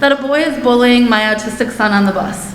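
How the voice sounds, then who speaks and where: A woman with a high-pitched voice talks at a moderate pace with ordinary pitch variation. Noticeable background noise and audible room echo fill the recording. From Germantown area, US; moved there in childhood. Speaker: parent speaking at public comment. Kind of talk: public comment at board meeting. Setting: school board meeting. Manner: formal, prepared statement.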